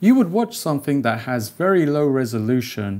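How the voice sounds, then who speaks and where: A man talks fairly slowly, his intonation lively. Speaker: 3D animation creator. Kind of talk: casual vlog chat. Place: home room.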